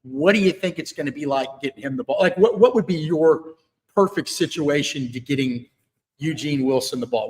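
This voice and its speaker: A man talks at a fairly quick pace with lively intonation. His voice sits fairly high. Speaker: sports reporter. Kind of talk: live interview. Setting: live video stream. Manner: loud.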